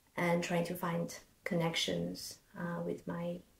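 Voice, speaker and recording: A woman speaks with a Chinese accent. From China. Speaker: podcast co-host, concert pianist. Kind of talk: casual interview chat.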